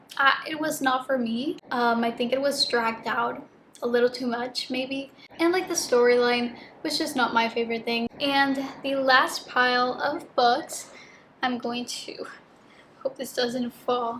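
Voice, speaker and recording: Against noticeable background noise, a woman speaks in a high pitch. Her pace is fairly slow and her intonation fairly even. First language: Spanish. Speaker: book youtuber. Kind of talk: casual vlog chat. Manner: casual with many fillers.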